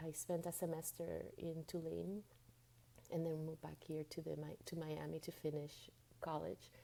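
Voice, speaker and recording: The pace of this woman's speech is fairly slow. She talks with a Spanish accent. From Venezuela and Dominican Republic, Latin America. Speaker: spiritual guide and coach. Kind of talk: interview. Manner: halting, repeats words.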